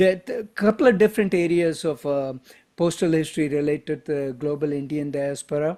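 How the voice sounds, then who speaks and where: Speaking at a moderate pace in a Tamil accent, a man with a fairly high pitch and a dark, mellow tone uses ordinary pitch variation. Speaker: stamp collector, postal historian. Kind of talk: presentation to a club. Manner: halting, many fillers.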